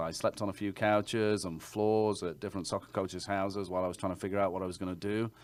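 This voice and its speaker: In an English accent, a man speaks in a fairly low, monotone voice with flat intonation. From England. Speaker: realtor. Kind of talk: interview answer.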